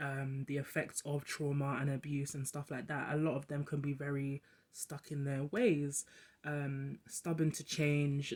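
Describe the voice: Delivered at a fairly slow pace, the voice has a slightly mellow tone and little pitch movement.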